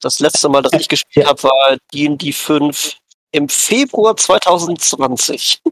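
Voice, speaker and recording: Speaking at a very slow pace, a man with a fairly high pitch and ordinary pitch variation comes through in a dry, close sound with no echo. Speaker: role-playing game editor. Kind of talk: casual chat. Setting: audio-only call without camera. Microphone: too quiet.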